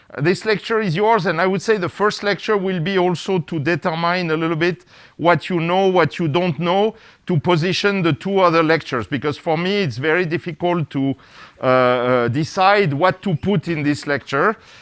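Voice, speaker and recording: Moderately paced talk from a man with a high voice and normal pitch movement. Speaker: physics professor. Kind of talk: lecture. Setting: lecture hall with live audience. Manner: speeds up over time.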